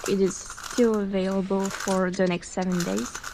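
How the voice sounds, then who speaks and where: A woman speaks at a very slow pace with a medium-pitched voice. Noticeable background noise runs underneath. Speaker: speedcuber. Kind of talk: casual voiceover to viewers.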